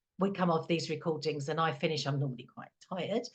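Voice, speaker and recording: Speaking at a fairly quick pace with an English accent, this voice comes across somewhat breathy. The air in the delivery is noticeable but not heavy. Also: woman. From England. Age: 50s. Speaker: calm and confidence coach, podcast co-host. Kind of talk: casual chat.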